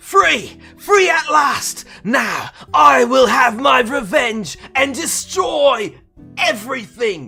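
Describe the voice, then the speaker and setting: Faint music sits behind a put-on character voice that is fairly high in pitch and delivered at a very slow pace. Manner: dramatic, villainous.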